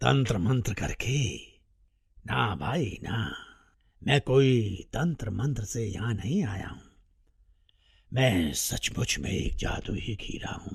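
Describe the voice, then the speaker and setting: A man uses a raspy, cartoonish character voice at a medium pitch. He goes at a very slow pace with long, frequent pauses. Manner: cheerful, playful, laughing.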